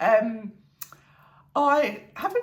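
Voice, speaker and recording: With a British accent, a woman speaks over noticeable background noise. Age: 60s. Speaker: fashion vlogger. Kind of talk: casual talk to camera. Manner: chatty, light-hearted.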